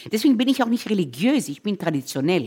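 A woman talks at a fairly quick pace with vocal fry and very wide pitch swings. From Israel, Tel Aviv. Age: 60s. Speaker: chef and restaurateur. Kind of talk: casual chat while cooking.

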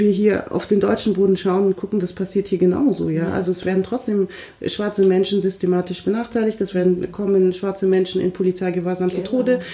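Someone talks at a fairly quick pace. Noticeable background noise runs underneath. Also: woman. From Munich, Germany. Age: 30s. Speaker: diversity trainer. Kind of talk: casual discussion.

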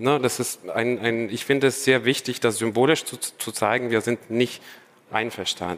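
The man's voice sits at a medium pitch with fairly even intonation. He speaks at a fairly slow pace. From Ukraine, Odessa. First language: Russian (speaking German). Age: 30s. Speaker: doctoral student. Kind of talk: live stage conversation. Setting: stage with audience.

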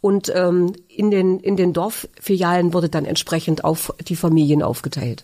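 Hardly pausing, a woman speaks at a fairly slow pace in a fairly low pitch, keeping very even loudness and fairly even intonation. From Thuringia, near Magdala. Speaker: retail cooperative executive, former shop assistant. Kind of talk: interview testimony. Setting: studio. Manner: hesitant, many fillers.

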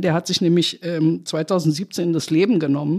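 A woman with an ordinary speaking voice talks at a moderate pace, her pitch fairly low with ordinary variation. The recording is very clean, with a silent background. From West Berlin, Germany (born in Tehran). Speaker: political journalist. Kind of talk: casual chat.

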